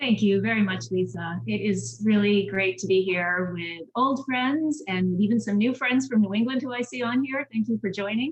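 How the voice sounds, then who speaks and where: A woman in a normal speaking voice with an American accent, medium pitch, lively intonation and a moderate pace with hardly any pauses. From Massachusetts, Boston area. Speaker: government relations consultant. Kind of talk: panel talk, personal story.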